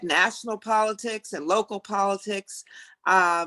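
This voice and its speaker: A woman with an American accent speaks at a very slow pace and a medium pitch with ordinary variation. Her tone is bright and sharp, and the sound is dry and close with no echo. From US South. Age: 70s. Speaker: county council member. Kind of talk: speaker Q&A. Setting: video call.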